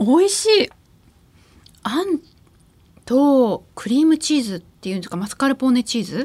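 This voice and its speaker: A woman's voice at a moderate pace, with very wide swings in pitch. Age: 30s. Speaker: podcast host interviewing business leaders. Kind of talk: casual chat, food tasting. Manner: animated.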